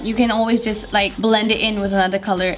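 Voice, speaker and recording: Over noticeable background noise, a woman speaks at a moderate pace in a fairly high voice. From Malaysia. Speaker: beauty youtuber. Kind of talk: casual talk to camera.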